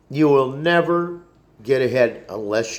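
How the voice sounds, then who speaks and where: Lively intonation runs through the man's speech. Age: 60s. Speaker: vlogger. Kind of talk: casual monologue rant. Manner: halting.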